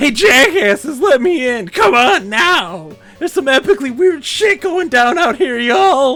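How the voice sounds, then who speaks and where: A man shouts in a put-on character voice at an extremely high pitch. He keeps a moderate pace while faint music plays in the background. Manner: shouting, demanding.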